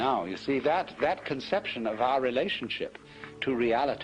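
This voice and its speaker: A man with a British accent speaks at a moderate pace and medium pitch while music plays in the background. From England. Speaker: philosopher, lecturer. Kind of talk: philosophy lecture.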